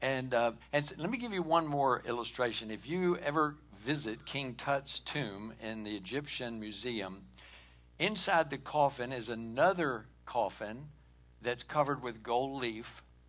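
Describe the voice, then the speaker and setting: A man's fairly slow speech with ordinary pitch variation and music in the background. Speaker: pastor. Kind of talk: sermon. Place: church.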